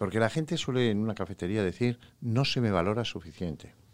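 Lively intonation in a very clean recording with a silent background. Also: man. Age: 60s. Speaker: psychologist. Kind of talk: interview.

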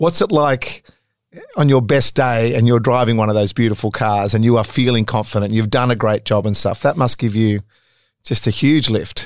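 At a moderate pace and medium pitch, a man with an Australian accent talks with very even loudness and ordinary pitch variation. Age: 50s. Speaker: podcast host. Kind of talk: casual interview.

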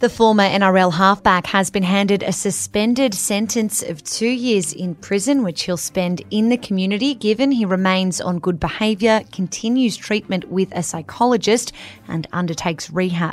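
With an Australian accent, a woman talks at a moderate pace and medium pitch, with ordinary pitch variation and hardly any pauses. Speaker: news podcast host. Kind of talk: formal newsreading of headlines, brisk and polished. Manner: steady, clear, neutral broadcast delivery.

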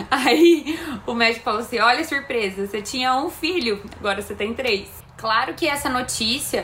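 Over noticeable background noise, a woman talks at a moderate pace, her high pitch carrying lively intonation. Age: 30s. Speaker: mother of twins, personal trainer. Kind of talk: recorded testimony.

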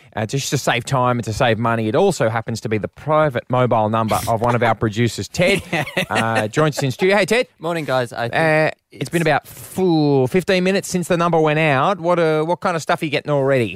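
This man speaks with an Australian accent at a very fast pace, hardly pausing at all. His fairly high pitch carries lively intonation, and the sound is dry and close with no echo. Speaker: radio host. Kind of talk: casual chat.

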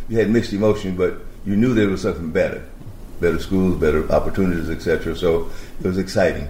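At a very fast pace, a man with an American accent speaks with a very deep, low pitch, fairly even intonation and very even loudness. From US South. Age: 80s+. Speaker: former basketball player. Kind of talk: interview.

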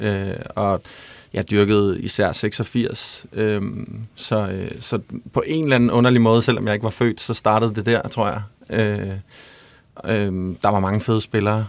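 The speech moves at a fairly slow pace with long, frequent pauses and fairly even intonation. The recording is very clean, with a silent background. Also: man, fairly low pitch for a man. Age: 30s. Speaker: songwriter and musician. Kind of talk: casual chat.

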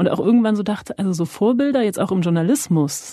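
A woman's somewhat breathy, dark, mellow voice at a medium pitch, fairly quick, with lively intonation. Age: 30s. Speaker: journalist interviewer. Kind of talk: interview. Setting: podcast studio.

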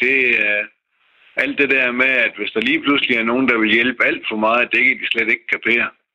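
His intonation stays monotone and flat throughout. The man keeps to a moderate pace. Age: 60s. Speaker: retired mechanic, listener panel member. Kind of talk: radio panel discussion.

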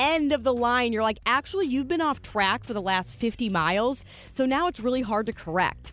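On a very clean recording with a silent background, a woman with a fairly high voice talks at a fairly quick pace with lively intonation in a normal speaking voice. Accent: American. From St. Louis, Missouri. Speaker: radio co-host. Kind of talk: casual chat.

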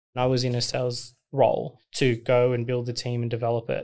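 In a very clean recording with a silent background, this man talks at a medium pitch. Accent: Australian. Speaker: agency co-founder and CEO. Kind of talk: interview.

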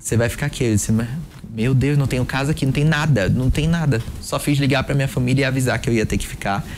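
At a very fast pace, a man speaks at a medium pitch with fairly even intonation and very even loudness. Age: 20s. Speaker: sales positioning mentor. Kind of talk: interview conversation.

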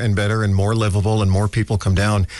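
Here a man talks at a fairly quick pace in an American accent, pitched fairly low. His is an unremarkable speaking voice. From New York City (the Bronx). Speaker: radio host. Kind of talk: casual chat.

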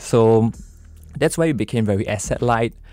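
Over music in the background, a man speaks at a moderate pace with a medium pitch. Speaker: business co-founder. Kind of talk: interview. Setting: studio.

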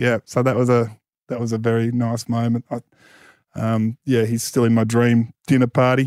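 A speaker with an Australian accent talks at a moderate pace in a flat, monotone way, recorded very cleanly against a silent background with a dry, close sound and no echo. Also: man, medium pitch for a man. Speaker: author and media personality. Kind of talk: casual chat.

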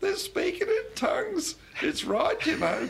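A squeaky put-on character voice from a man, extremely high in pitch, at a fairly slow pace

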